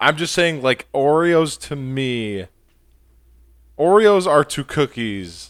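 A man with an American accent speaks at a fairly high pitch with very wide pitch swings, at a very slow pace with long, frequent pauses. The recording is very clean, with a silent background and a dry, close sound with no echo. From New York. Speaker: podcast guest. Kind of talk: casual chat.

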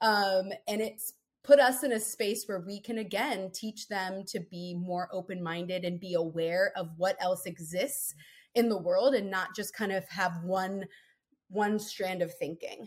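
In an American accent, a woman with a medium pitch talks in an animated tone at a fairly slow pace with ordinary pitch variation, recorded very cleanly over a silent background. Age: 30s. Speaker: podcast guest, mother of four. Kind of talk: casual interview, personal story. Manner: animated, frequent laughter.

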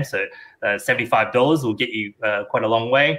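A man's medium-pitched voice with an Australian accent, bright and sharp in tone, with fairly even intonation. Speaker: technology consultant, transhumanist. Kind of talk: panel discussion. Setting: video call at night.

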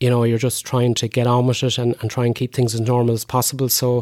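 A man speaks in an Irish midlands accent. The sound is dry and close, with no echo. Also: very clean recording, silent background. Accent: Irish (Roscommon). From Ireland, County Roscommon. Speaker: lung transplant recipient. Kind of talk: interview.

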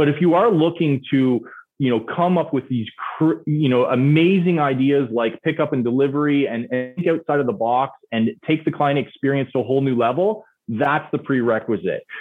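With music in the background, a man with a fairly high pitch talks at a moderate pace, his loudness very even and his pitch variation ordinary. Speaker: auto shop owner and product marketing head. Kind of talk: interview.

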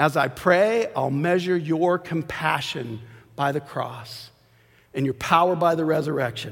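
A fairly high-pitched man's voice at a fairly slow pace. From Arizona. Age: 50s. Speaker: lay preacher. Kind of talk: sermon. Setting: church.

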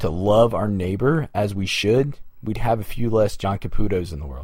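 Lively intonation runs through the speech. It is plain reading aloud.

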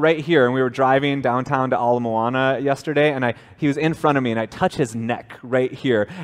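At a fairly quick pace and with hardly any pauses, a man talks at a medium pitch in an ordinary speaking voice with ordinary pitch variation. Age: 30s. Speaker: pastor. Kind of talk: sermon. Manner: casual, conversational.

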